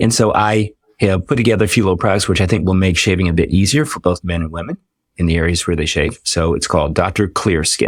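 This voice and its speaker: Speech rushes along very fast with ordinary pitch variation on a very clean recording with a silent background. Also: man, very deep, low pitch for a man. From Washington DC area. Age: 60s. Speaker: dermatologist. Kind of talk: podcast interview.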